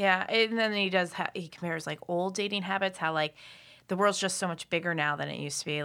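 On a very clean recording with a silent background, a woman with an American accent and a fairly low pitch speaks very fast in a bright, sharp tone with ordinary pitch variation. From US, Philadelphia. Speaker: podcast guest. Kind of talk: casual chat.

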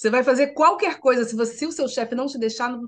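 A woman's fairly high-pitched voice comes through over a quiet background. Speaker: writer and journalist. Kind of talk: interview.

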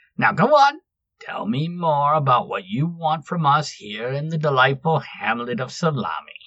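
The pitch stays in the middle range. A put-on character voice is being performed. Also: moderate pace. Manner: brash, teasing.

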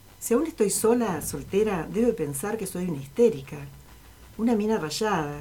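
A woman speaks at a medium pitch in a dark, mellow tone. Her voice is somewhat breathy and her pace moderate. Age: 60s. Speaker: writer, retired teacher. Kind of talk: reading aloud own fiction; casual interview.

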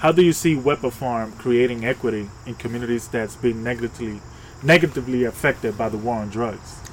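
Noticeable background noise runs under a man whose speech moves fairly quickly. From Dominican. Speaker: podcast co-host. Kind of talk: casual interview.

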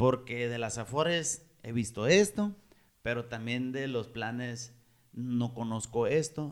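Here is a normal speaking voice. Its pitch variation is ordinary. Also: man. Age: 30s. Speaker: podcast host. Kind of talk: casual chat.

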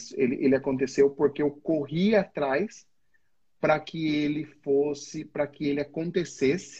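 A man speaks at a fairly slow pace with fairly even intonation. His voice is somewhat breathy and fairly high in pitch. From Brazil, interior of São Paulo (Votorantim/Sorocaba). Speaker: entrepreneur. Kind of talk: casual interview. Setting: online live stream.

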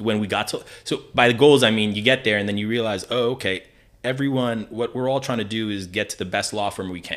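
Speaking at a very fast pace with an American accent, a man keeps a medium pitch and fairly even intonation. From New Jersey. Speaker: lawyer and army veteran. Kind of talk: casual interview.

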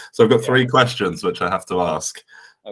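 A man at a very fast pace. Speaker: podcast host. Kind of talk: casual interview chat.

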